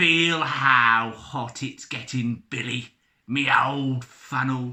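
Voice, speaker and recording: A man puts on a character voice at a medium pitch. He speaks at a very slow pace with fairly even intonation. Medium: read story. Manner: sneering.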